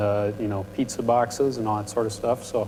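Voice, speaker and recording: A man with an American accent mumbles at a fairly quick pace. There is noticeable background noise. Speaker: panel speaker, industrial engineer. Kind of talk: panel talk to students. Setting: university event with audience. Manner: prone to mumbling.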